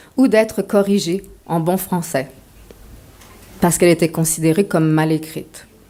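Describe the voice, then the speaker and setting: A woman's tone is dark and mellow as she talks at a moderate pace. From Quebec, Montreal. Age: 40s. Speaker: author. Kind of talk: lecture.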